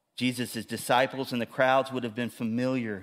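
A man talks at a medium pitch in a very clean recording with a silent background. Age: 50s. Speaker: pastor. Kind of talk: sermon. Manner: animated.

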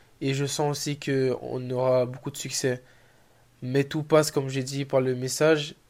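Recorded very cleanly against a silent background, a man of medium pitch speaks at a fairly slow pace with monotone, flat intonation. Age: 20s. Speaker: athlete and social media motivator. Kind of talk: interview answers. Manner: halting.

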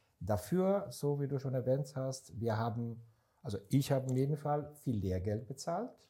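Somewhat breathy with a dark, mellow tone, the voice keeps a moderate pace and ordinary pitch variation in a very clean recording with a silent background. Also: man, medium pitch for a man. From Israel. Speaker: startup investor. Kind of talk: casual chat. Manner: halting.

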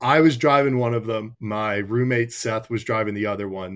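A man with an American accent and an unremarkable speaking voice, fairly low in pitch and fairly even in intonation, at a moderate pace on a very clean recording with a silent background. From North Carolina. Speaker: college hockey player. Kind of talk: interview.

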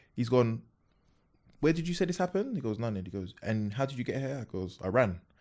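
A man talks at a fairly quick pace with a South London accent. His intonation is lively. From South London, Peckham. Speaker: comedian and content creator. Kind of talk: casual chat.

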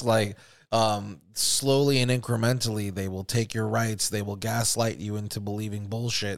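On a very clean recording with a silent background, a man speaks in an unremarkable speaking voice. His pitch is medium, his pace moderate, and his intonation fairly even. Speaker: podcast host. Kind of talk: angry rant about government and false flags. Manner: heated, profane, indignant.

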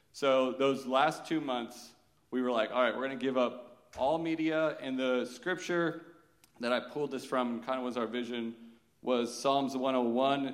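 Speaking at a moderate pace, a man with a plain, everyday voice keeps a medium pitch and fairly even intonation. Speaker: church member giving testimony. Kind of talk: testimony.

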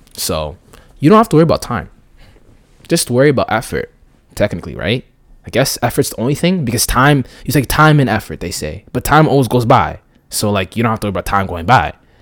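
At a very fast pace broken by long, frequent pauses, a man with vocal fry and a medium pitch swings very widely in pitch on a very clean recording with a silent background. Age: 20s. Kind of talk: casual monologue. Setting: home recording setup.

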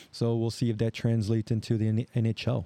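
With an American accent and a dark, mellow tone, a man speaks at a moderate pace in a dry, close sound with no echo over a quiet background. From Chicago, US Midwest. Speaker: podcast host. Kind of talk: solo news commentary. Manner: halting, many fillers.

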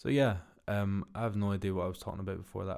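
A man speaks with a Glaswegian accent at a fairly low pitch. The recording is very clean with a silent background. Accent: Glaswegian Scottish. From Scotland, Glasgow. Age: 20s. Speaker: podcast host, builder. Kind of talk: casual solo monologue. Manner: monotone.

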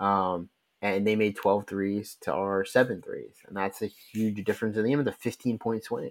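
Over a very clean recording with a silent background, a man talks in a plain, everyday voice, fairly low in pitch, at a moderate pace with fairly even intonation. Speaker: podcast co-host. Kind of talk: casual sports podcast discussion.

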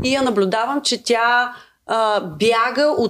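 A woman speaks at a fairly high pitch with ordinary pitch variation. Hers is an unremarkable speaking voice on a very clean recording with a silent background. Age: 30s. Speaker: singer-songwriter. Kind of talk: casual chat.

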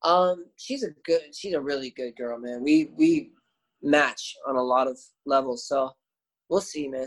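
This man has an unremarkable speaking voice with a Canadian accent. He goes at a fairly slow pace with ordinary pitch variation. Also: fairly high pitch for a man. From Canada, Windsor, Ontario. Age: 20s. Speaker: English teacher. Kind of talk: casual chat.

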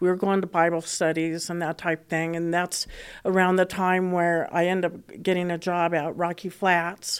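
The speaker has an American accent and a monotone, flat intonation. The recording is very clean, with a silent background. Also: woman, fairly low pitch for a woman, moderate pace. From Colorado (Boulder). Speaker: guest sharing faith story. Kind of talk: testimony. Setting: recorded in Colorado. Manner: halting.

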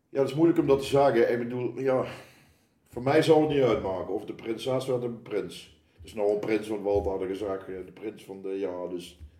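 With a plain, everyday voice, a man of medium pitch speaks at a moderate pace, with lively intonation and big swings in loudness. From Netherlands, Oosterhout (Gelderland). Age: 60s. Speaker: carnival committee member. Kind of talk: casual chat. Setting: kitchen table at home.

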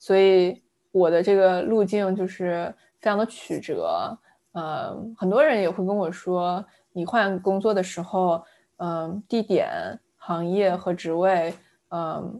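Very slow speech from a woman with a medium pitch, fairly even intonation, and a dark, mellow tone comes on a very clean recording with a silent background. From southern China, Fujian. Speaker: product manager. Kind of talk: interview conversation. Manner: hesitant with fillers.

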